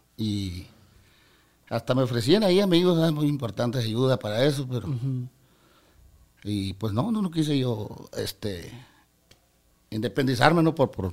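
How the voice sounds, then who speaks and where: A man with a northern Mexican accent speaks at a fairly slow pace. His medium-pitched voice has very wide pitch swings. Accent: northern Mexican (Sonoran) Spanish. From Mexico, Sonora (Ciudad Obregón). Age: 40s. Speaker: regional Mexican musician. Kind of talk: casual interview chat. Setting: studio.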